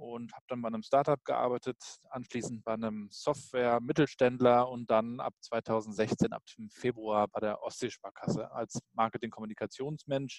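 In a normal speaking voice, a man talks at medium pitch and a moderate pace with fairly even intonation, the sound dry and close with no echo. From Rostock, northeastern Germany. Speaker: blogger and digital communication consultant. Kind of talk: interview.

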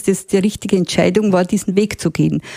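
With a dark, mellow tone and ordinary pitch variation, a woman speaks in a dry, close sound with no echo. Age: 60s. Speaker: retired hiking enthusiast. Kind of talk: casual interview.

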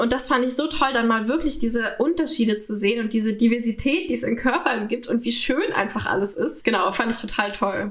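Over noticeable background noise, a woman speaks at a fairly quick pace with hardly any pauses, her fairly high pitch showing ordinary variation. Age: 20s. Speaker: sex worker and retreat leader. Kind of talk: interview.

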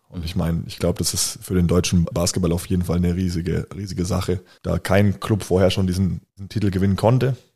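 A man with a very deep, low pitch and a dark, mellow tone talks at a very fast pace, somewhat breathy, with fairly even intonation and hardly any pauses. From Bayreuth, Upper Franconia, Germany. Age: 20s. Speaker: professional basketball player. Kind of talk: interview.

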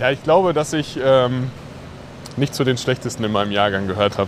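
The speaker is a man. Noticeable background noise is present. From Sauerland, western Germany. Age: 20s. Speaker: former football goalkeeper, nonprofit founder. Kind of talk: interview. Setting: outdoors at a football stadium.

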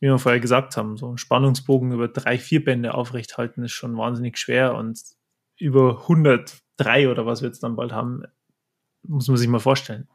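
A man has a plain, everyday voice of medium pitch. He talks at a moderate pace with fairly even intonation. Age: 20s. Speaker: manga artist and tattoo artist. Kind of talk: interview.

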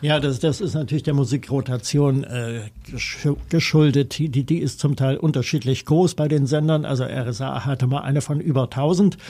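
A man speaks at a moderate pace in a dark, mellow, somewhat breathy tone, keeping his intonation fairly even. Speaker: radio music journalist. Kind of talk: interview. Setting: studio.

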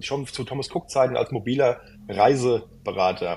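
With an ordinary speaking voice, a man talks at a moderate pace and a medium pitch, with ordinary pitch variation. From Hesse, near Frankfurt. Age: 30s. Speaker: travel consultant and content creator. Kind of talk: casual interview. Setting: remote call.

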